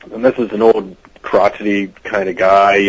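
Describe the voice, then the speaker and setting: A fairly low-pitched man with an American accent. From US Midwest, Cincinnati Ohio. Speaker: actor. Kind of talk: interview. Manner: casual, halting with fillers.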